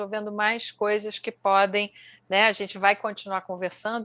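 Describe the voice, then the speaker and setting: Against a quiet background, a woman talks in a bright, sharp tone. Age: 60s. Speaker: executive and MBA lecturer. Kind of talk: casual interview conversation.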